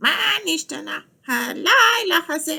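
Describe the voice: At a moderate pace, someone performs a put-on character voice that is squeaky and high-pitched.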